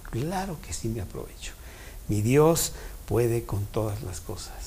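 Somewhat breathy speech comes at a fairly slow pace, with audible room echo around it. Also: man. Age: 70s. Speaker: Bible study teacher. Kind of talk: Bible study talk.

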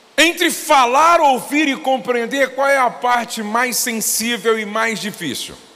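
With noticeable background noise and audible room echo, a man uses a raised, projected voice at an extremely high pitch, ordinary pitch variation and a fairly slow pace. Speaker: pastor. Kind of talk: sermon.

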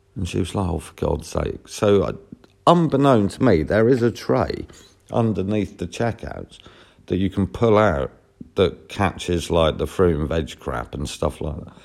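With a Norfolk accent and vocal fry, a man speaks at a moderate pace in a very deep, low voice with lively intonation. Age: 40s. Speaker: podcaster. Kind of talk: casual monologue storytelling.

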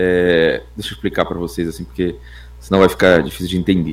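A man's very deep, low voice. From northern Brazil. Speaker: youtuber and musician. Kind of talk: casual chat.

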